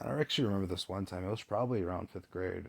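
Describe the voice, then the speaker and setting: This man speaks at a fairly low pitch with ordinary pitch variation. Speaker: personal vlogger. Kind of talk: casual storytelling monologue. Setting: home recording, no fan. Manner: casual, halting.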